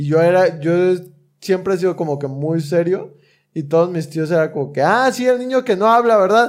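A man talks in a high pitch with lively intonation. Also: moderate pace. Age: 20s. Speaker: aspiring comedian, podcast co-host. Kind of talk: casual chat.

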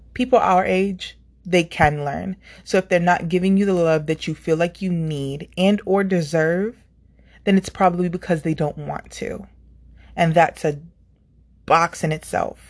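At a fairly slow pace, a woman talks in fairly even intonation. She has an ordinary speaking voice with a fairly low pitch. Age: 30s. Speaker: YouTuber. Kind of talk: motivational monologue.

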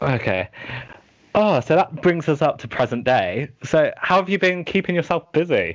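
This man's fairly high pitch comes with vocal fry, delivered at a moderate pace. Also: lively intonation. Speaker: podcast host. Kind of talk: casual interview chat.

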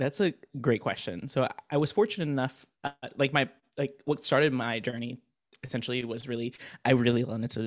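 In an American accent, a man talks at a fairly quick pace. His pitch is medium, with ordinary variation. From Florida. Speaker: software developer and streamer. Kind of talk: casual interview.

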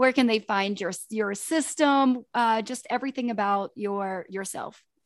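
With an unremarkable speaking voice, a woman speaks at a fairly slow pace and fairly high pitch, with ordinary pitch variation over a quiet background. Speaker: podcast co-host. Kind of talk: casual interview chat.

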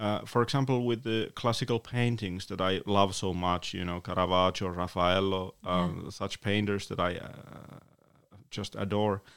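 This man speaks with a Finnish accent. His pace is moderate and his intonation fairly even. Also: fairly low pitch for a man. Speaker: author and poet. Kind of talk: interview. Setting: studio.

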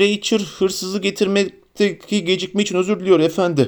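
This man uses a put-on character voice that is creaky and high-pitched. He keeps a moderate pace. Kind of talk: servile, formal.

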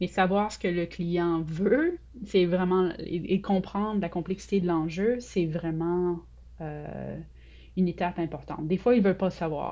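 A woman talks at a fairly slow pace with a fairly low pitch. Her intonation stays fairly even. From Quebec City, Sainte-Foy. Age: 40s. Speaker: UX researcher. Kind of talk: interview.

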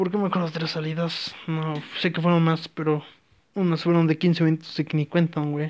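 Monotone, flat intonation in a Mexican accent at a moderate pace. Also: man, fairly high pitch for a man. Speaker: podcaster. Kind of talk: casual monologue. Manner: rambling, halting.

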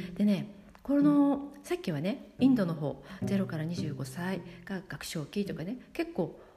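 A woman at medium pitch speaks at a fairly slow pace in a dark, mellow tone with vocal fry. Her pitch swings very widely. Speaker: yoga instructor podcaster. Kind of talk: casual monologue. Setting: studio.

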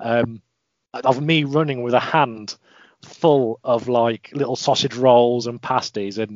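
With an English accent, a man talks at a medium pitch with ordinary pitch variation. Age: 20s. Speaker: mental health advocate and runner. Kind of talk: interview.

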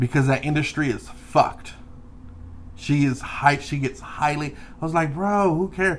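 At a moderate pace, a man with a fairly high pitch sounds somewhat breathy, with ordinary pitch variation. Long, frequent pauses break up his speech. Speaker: podcast co-host. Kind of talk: casual chat.

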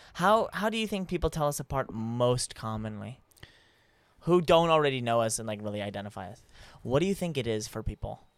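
In a very clean recording with a silent background, a man at a medium pitch speaks fairly quickly with lively intonation and big swings in loudness. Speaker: podcast host. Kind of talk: casual chat. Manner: animated.

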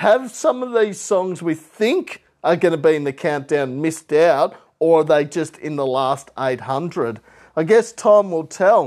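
A man with an Australian accent is speaking. His pace is fairly slow. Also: very clean recording, silent background. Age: 30s. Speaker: music podcast host. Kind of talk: casual solo podcast chat.

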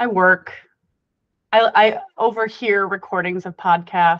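A woman speaks at a medium pitch with fairly even intonation against a quiet background. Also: dry, close sound with no echo. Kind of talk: casual chat.

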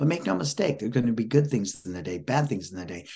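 Lively intonation in a somewhat breathy male voice. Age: 60s. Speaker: motivational speaker and author. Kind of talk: interview.

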